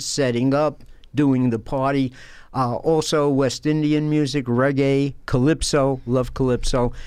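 With a New York accent, a man speaks at a fairly slow pace in monotone, flat intonation against a quiet background. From Brooklyn, New York. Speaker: former professor and author. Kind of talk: interview.

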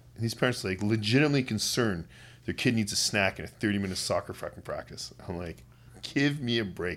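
A man speaks very fast at a medium pitch, with ordinary pitch variation and a western Canadian accent. The recording is very clean, with a silent background. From Canada, West Kootenays, British Columbia. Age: 40s. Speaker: university volleyball coach. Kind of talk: casual chat.

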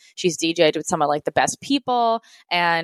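A woman speaks with an American accent in an ordinary speaking voice, fairly low in pitch with ordinary variation. Her moderate pace comes through in a dry, close sound with no echo. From US Northeast, Rhode Island. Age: 20s. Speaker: YouTuber and entrepreneur. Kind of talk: casual interview chat.

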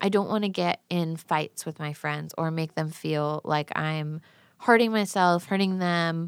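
A woman speaks at a fairly slow pace in an ordinary speaking voice with fairly even intonation, in a very clean recording with a silent background. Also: fairly low pitch for a woman. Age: 20s. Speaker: painter. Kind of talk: casual chat.

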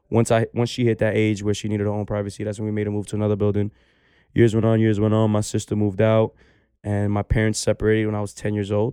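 In a quiet background with a dry, close sound and no echo, a man with a New York accent speaks in a dark, mellow tone at a fairly low pitch, his intonation monotone and flat. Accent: New York (Bronx). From New York City, the Bronx. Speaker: barber. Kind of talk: casual chat.

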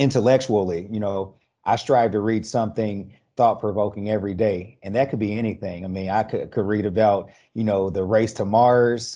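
In an unremarkable speaking voice, a man talks at a moderate pace with fairly even intonation against a quiet background. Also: fairly low pitch for a man. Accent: American. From Indianapolis, US Midwest. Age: 30s. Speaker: construction diversity director and youth camp founder. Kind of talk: casual interview. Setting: podcast.

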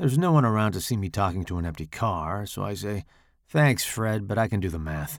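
A plain, everyday voice carries lively intonation. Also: man, very clean recording, silent background. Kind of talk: horror short story narration. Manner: first-person narration with distinct character voices.

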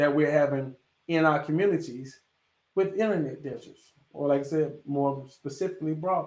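A man with an American accent speaks at a moderate pace in an ordinary speaking voice, his fairly high pitch showing ordinary pitch variation. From North Carolina. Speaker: professor and podcast host. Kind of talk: solo educational talk. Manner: casual, conversational.

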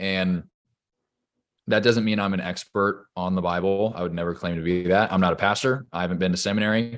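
In a quiet background, a man with an American accent speaks at a fairly quick pace in a very deep, low voice with fairly even intonation. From US West Coast, Orange County, California. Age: 30s. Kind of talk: casual interview, faith testimony.

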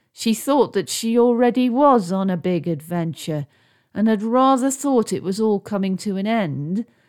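The speaker is reading aloud in a natural voice. The delivery stays unforced throughout.

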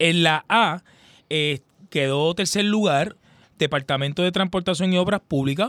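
A man speaks at a fairly slow pace with lively intonation. The recording is very clean, with a silent background and a dry, close sound with no echo. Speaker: sports supervisor. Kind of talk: radio interview. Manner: animated, repetitive fillers.

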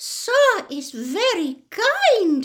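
A squeaky put-on character voice at an extremely high pitch, with very wide pitch swings. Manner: humble, deferential.

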